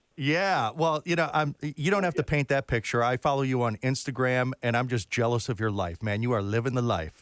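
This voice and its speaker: In a very clean recording with a silent background and a dry, close sound with no echo, a man with a normal speaking voice talks at a fairly quick pace with very even loudness. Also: medium pitch for a man, lively intonation, hardly any pauses. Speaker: interviewer. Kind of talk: interview question.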